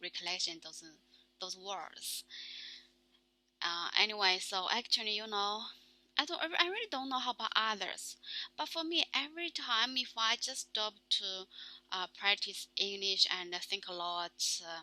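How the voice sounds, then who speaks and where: A woman with a Chinese accent at a medium pitch, bright and sharp in tone, lively in intonation, fairly slow, with big swings in loudness and long, frequent pauses. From China. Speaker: vlogger practicing English. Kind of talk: casual monologue. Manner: halting, many fillers.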